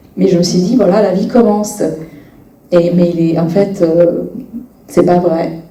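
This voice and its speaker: Fairly low in pitch, a woman's voice moves at a fairly slow pace with fairly even intonation and long, frequent pauses. Audible room echo and noticeable background noise fill the recording. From Bosnia and Herzegovina. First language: Bosnian/Serbo-Croatian (speaking French). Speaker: novelist. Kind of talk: interview at a public reading event. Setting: library event with audience. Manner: halting, many hesitations.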